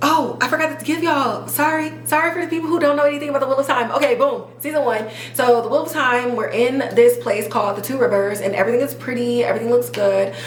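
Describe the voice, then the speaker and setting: A woman talks very fast with hardly any pauses, her pitch high and ordinary in variation. Noticeable background noise and audible room echo are present. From Chicago. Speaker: podcast host. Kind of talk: TV review monologue. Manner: animated.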